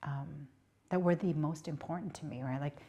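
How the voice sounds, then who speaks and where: A woman with a Southeast Asian accent speaks at a moderate pace in a dark, mellow tone that is somewhat breathy. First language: Hmong. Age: 50s. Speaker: politician. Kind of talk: interview. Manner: conversational, many filler words.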